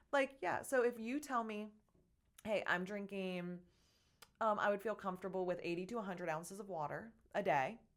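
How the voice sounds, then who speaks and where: A woman at a medium pitch speaks in an animated tone. Her speech has long, frequent pauses. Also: ordinary pitch variation. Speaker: fitness and nutrition coach, business owner. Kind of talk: casual chat. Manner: fast.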